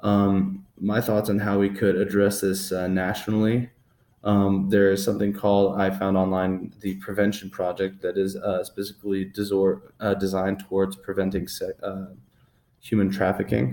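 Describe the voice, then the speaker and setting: Mumbling in a dark, mellow tone, a man speaks with a fairly low pitch and monotone, flat intonation. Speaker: student giving a presentation. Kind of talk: class presentation. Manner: fast; mumbling, halting.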